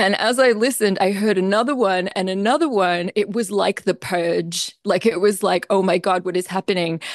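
A woman speaks with an Australian accent at a medium pitch and moderate pace. The sound is dry and close, with no echo. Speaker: composer. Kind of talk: interview.

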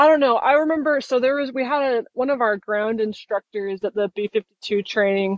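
A woman with an American accent speaks fairly quickly, with hardly any pauses, at a fairly high pitch and with ordinary pitch variation. It is an ordinary speaking voice. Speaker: military pilot. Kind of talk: casual chat.

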